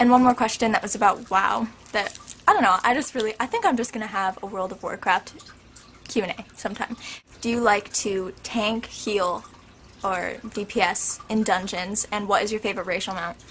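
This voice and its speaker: A woman speaks at a medium pitch and moderate pace over noticeable background noise. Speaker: video blogger. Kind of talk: casual Q&A vlog. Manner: animated.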